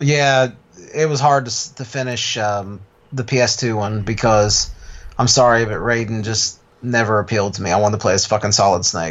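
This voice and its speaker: Delivered at a moderate rate, the speech uses an ordinary speaking voice whose pitch varies in an ordinary way. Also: man, medium pitch for a man. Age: 30s. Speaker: podcast co-host. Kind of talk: casual chat.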